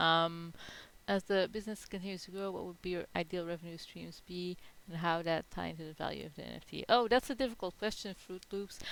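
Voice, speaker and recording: A woman's fairly low voice with a non-native accent, ordinary pitch variation and a very fast pace. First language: not English. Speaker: NFT project founder. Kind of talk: live Q&A in online town hall. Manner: halting, many fillers.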